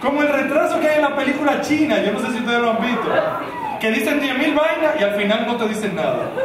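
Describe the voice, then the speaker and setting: Loud background noise and audible room echo surround the speaker. A man talks at a very fast pace. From Dominican Republic. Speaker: stand-up comedian. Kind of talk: stand-up comedy routine. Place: stage.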